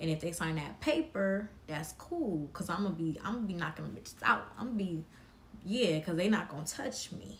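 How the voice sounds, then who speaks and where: A woman's fairly low voice comes out somewhat breathy, with lively intonation. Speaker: live stream commentator. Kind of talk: casual live stream chat. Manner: slow.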